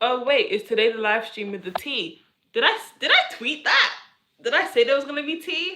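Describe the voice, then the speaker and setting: In a London accent, a woman speaks in a raised, projected voice at a high pitch. Her pitch swings very widely at a moderate pace. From London, England. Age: 20s. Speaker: streamer. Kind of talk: casual chat. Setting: live stream. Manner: halting.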